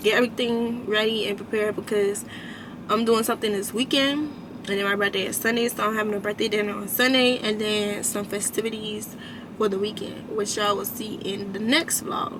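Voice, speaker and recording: A woman talks at a fairly quick pace in a fairly high pitch, her intonation monotone and flat. Noticeable background noise runs underneath. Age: 20s. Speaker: beauty vlogger. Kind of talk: casual vlog talk to camera. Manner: casual, chatty.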